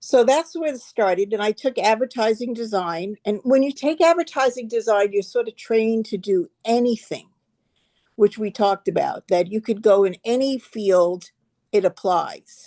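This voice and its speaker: Dark and mellow in tone, a woman with a New York accent and fairly high pitch speaks at a moderate pace with lively intonation, in a dry, close sound with no echo. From New York, Long Island. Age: 70s. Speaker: art director and interior designer. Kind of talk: casual interview. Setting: video call.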